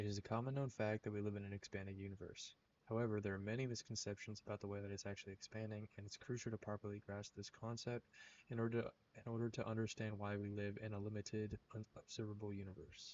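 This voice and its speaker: Talking very fast, a man holds a fairly low, monotone voice with flat intonation. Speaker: astronomy student. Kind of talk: educational explainer narration. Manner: stuttering.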